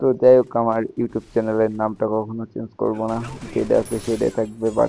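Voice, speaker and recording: Music plays in the background as a man talks quietly at a medium pitch. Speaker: gaming YouTuber. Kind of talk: gameplay commentary voiceover. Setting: at home, late night. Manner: speaking quietly.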